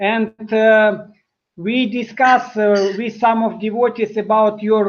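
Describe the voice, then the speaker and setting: Speaking very slowly in a monotone, flat intonation, this voice comes with a Russian accent. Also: man. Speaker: interviewer. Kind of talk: interview. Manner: halting.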